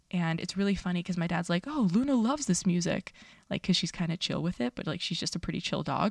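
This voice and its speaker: Very fast, somewhat breathy speech with an American accent and lively intonation, dry and close with no echo, on a very clean recording with a silent background. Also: woman, fairly low pitch for a woman. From New York City (Astoria, Queens). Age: 30s. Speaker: dietitian podcast host. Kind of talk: casual solo podcast monologue. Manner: animated.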